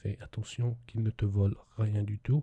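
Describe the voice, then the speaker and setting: A soft-spoken man's somewhat breathy voice, gentle in tone, dark and mellow. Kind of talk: ASMR roleplay as an English teacher, soft spoken. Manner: soft-spoken, gentle.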